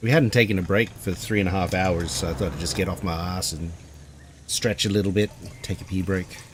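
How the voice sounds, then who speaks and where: Very deep and low in pitch, a man talks at a fairly quick pace with an Australian accent. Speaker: gaming streamer. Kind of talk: casual chat. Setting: live stream.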